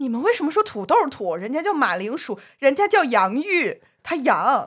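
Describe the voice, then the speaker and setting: Very wide pitch swings stand out in a very clean recording with a silent background. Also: woman. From southern China. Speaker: podcast co-host. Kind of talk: casual chat.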